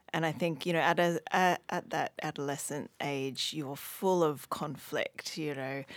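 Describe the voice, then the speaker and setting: Speaking at a fairly slow pace, a woman with a very deep, low pitch keeps her intonation fairly even. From Hong Kong. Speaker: writer and general practitioner. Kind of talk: casual interview.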